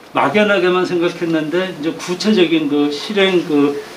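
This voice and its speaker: With audible room echo and noticeable background noise, a man talks at a fairly slow pace with ordinary pitch variation. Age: 60s. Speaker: training graduate. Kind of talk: testimonial remarks at a training session.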